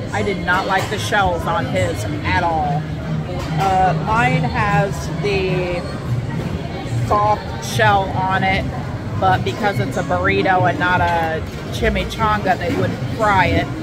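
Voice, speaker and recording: Clear music plays in the background as a woman speaks at a very slow pace with long, frequent pauses. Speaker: food vlogger. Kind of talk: casual vlog chat, food review. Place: bar. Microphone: phone near.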